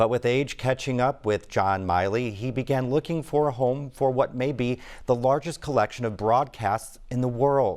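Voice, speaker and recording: Here is a man with an ordinary speaking voice, talking at a moderate pace with ordinary pitch variation and hardly any pauses. The recording is very clean, with a silent background. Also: medium pitch for a man. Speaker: news anchor. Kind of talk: TV news intro read.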